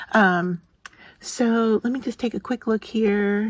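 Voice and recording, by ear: This woman talks at a medium pitch with ordinary pitch variation.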